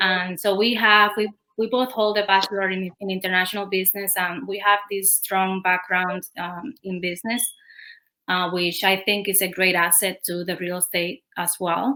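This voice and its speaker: A woman with a Spanish accent talks at a moderate pace in a bright, sharp tone, her medium pitch kept to fairly even intonation. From Cuba. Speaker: real estate agent. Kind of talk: interview.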